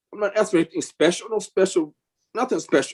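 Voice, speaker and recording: With an American accent, a man talks at a fairly quick pace in a high pitch, his voice making very wide pitch swings. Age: 60s. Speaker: small business owner speaking at public hearing. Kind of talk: public comment at city commission hearing. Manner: halting, repeats words.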